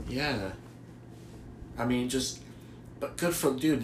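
Audible room echo surrounds a man with an American accent. His pitch varies in an ordinary way. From US Northeast, Boston. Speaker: sports podcast co-host. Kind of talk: casual chat.

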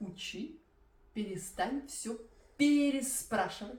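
A woman's high-pitched voice with lively intonation at a very slow pace, with audible room echo. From Belarus. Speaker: Russian language teacher. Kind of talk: language-learning tutorial. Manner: clear; moderate pace.

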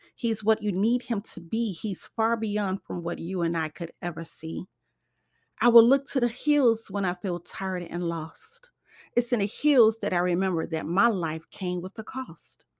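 A woman's plain, everyday voice at medium pitch and moderate pace, ordinary pitch variation, dry, close sound with no echo, very clean recording, silent background. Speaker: poet and author. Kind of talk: spoken word poetry reading, devotional and prayerful. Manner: rhythmic, earnest, sing-song cadence; warm, reverent, heartfelt.

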